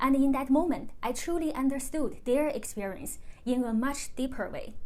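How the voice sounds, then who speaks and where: A woman's high-pitched voice with a Chinese accent at a moderate pace, with audible room echo. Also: ordinary pitch variation. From China. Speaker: YouTuber. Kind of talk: personal vlog monologue.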